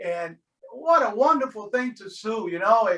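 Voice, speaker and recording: A man's high, bright, sharp voice, raised and projected, with an animated tone. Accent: American. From Miami, Florida (Hialeah). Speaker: deacon leading a faith formation class. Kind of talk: class discussion on a video call. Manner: animated, repeats words often.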